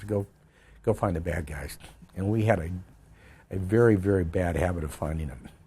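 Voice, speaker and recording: A man's very deep, low voice with an American accent, somewhat breathy, with a dark, mellow tone. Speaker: retired army general, Vietnam war veteran. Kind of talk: oral history interview answer.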